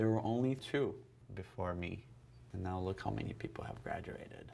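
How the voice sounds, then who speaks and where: With a very deep, low pitch and very wide pitch swings, a somewhat breathy man speaks at a moderate pace. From Brazil. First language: Portuguese. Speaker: ballet dancer. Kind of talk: casual chat.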